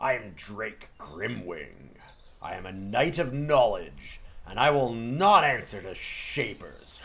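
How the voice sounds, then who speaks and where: A growling, put-on character voice. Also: man, medium pitch for a man, fairly slow pace. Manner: proud, defiant.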